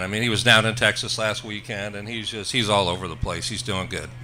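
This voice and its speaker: There is audible room echo. A man speaks at medium pitch and a fairly quick pace. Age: 60s. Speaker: racing engine builder. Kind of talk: interview. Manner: hesitant, many fillers.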